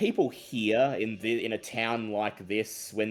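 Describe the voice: The speaker is doing plain reading aloud.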